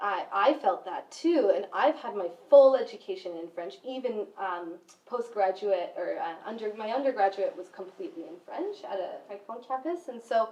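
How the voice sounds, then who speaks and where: Her pitch fairly high, a woman speaks at a moderate pace with very wide pitch swings and big swings in loudness. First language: Spanish. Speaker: educator. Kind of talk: panel discussion.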